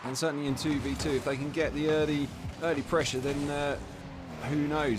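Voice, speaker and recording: A man with an English accent, fairly high-pitched, at a fairly quick pace. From England. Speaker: esports caster. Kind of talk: live commentary. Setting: live stream.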